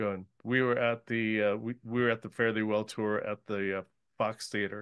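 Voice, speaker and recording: A man with an American accent, fairly low in pitch, at a moderate pace and in a monotone, flat intonation. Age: 70s. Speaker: radio host. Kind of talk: radio interview. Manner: halting, many fillers.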